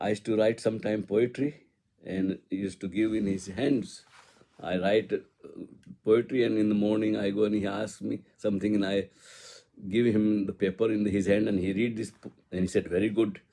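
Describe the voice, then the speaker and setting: In an Indian accent, a man speaks with a dark, mellow tone and a fairly low pitch. His pace is moderate and his intonation monotone and flat. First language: Hindi. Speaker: spiritual poet. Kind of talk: personal reminiscence. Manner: halting.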